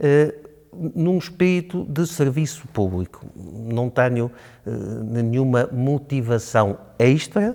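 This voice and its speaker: The tone is dark and mellow, with lively intonation. The pace is very slow. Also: man. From Portugal, Chaves (Trás-os-Montes). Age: 60s. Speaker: local election candidate, physician. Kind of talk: interview. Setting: studio. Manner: hesitant, with filler sounds.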